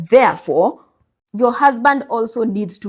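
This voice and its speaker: In a Kenyan accent, a woman talks at a moderate pace with ordinary pitch variation and a somewhat breathy sound, on a very clean recording with a silent background. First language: Kikuyu. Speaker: finance content creator and life insurance advisor. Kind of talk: advice monologue to camera. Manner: animated.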